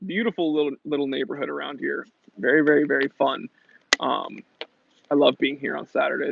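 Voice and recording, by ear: Using a raspy, put-on character voice, a man speaks at a fairly high pitch. His pace is fairly quick, broken by long, frequent pauses.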